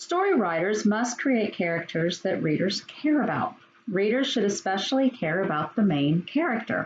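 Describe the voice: The clip is plain reading aloud. Words are read off a text.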